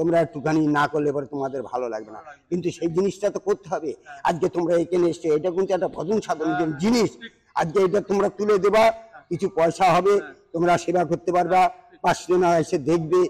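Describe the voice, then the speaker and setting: A man talks in a high voice with ordinary pitch variation. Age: 60s. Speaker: hermit ascetic. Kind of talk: interview. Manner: halting. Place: open country.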